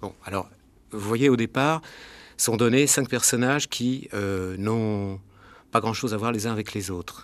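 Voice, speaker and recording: A man talks at a fairly slow pace with a fairly low pitch. The recording is very clean, with a silent background. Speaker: film director. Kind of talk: radio interview. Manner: hesitant, with many fillers.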